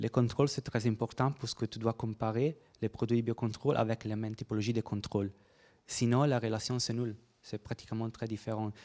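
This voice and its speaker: At medium pitch, a man delivers his words fairly quickly in a dark, mellow tone and monotone, flat intonation, with a dry, close sound and no echo. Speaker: researcher presenting at a workshop. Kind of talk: conference presentation and Q&A. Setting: conference room with audience. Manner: halting, many hesitations and repetitions.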